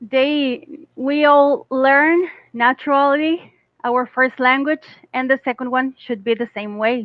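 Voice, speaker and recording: With a Costa Rican accent, a woman speaks very slowly at a high pitch and with ordinary pitch variation. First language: Spanish. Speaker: English teacher. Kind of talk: casual chat.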